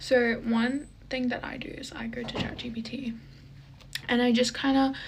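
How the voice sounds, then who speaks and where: Audible room echo follows a woman speaking at a fairly slow pace with a fairly high pitch. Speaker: lifestyle vlogger. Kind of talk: casual vlog monologue.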